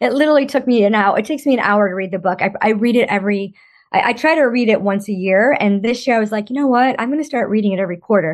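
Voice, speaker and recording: Against a quiet background, the speech moves at a very fast pace with ordinary pitch variation. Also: woman, fairly high pitch for a woman. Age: 50s. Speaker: financial coach. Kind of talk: interview.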